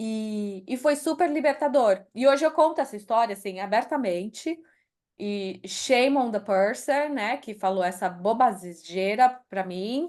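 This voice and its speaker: With a Brazilian accent, a woman speaks at a fairly slow pace and a fairly high pitch. Her intonation is lively, and the background is quiet. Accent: Brazilian accent when speaking English. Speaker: author and HR executive. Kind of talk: interview.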